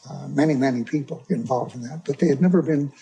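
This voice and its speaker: Over music in the background, a man with an American accent speaks at a fairly high pitch with ordinary pitch variation. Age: 80s+. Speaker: whistleblower. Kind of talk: tribunal testimony.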